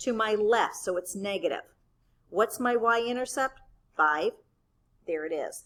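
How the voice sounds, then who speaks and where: With lively intonation, a woman of fairly high pitch speaks at a fairly slow pace, leaving long, frequent pauses. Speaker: math teacher. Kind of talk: tutorial. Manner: casual, conversational.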